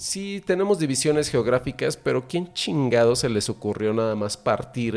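This is an ordinary speaking voice from a man at medium pitch. He keeps a moderate pace with lively intonation. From central Mexico. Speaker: podcast host. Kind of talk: casual chat.

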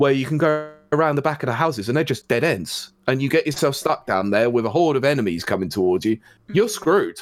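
Very fast and with hardly any pauses, a man with a British accent speaks at a fairly high pitch, his voice making very wide pitch swings. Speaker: co-host video game reviewer. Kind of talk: casual chat.

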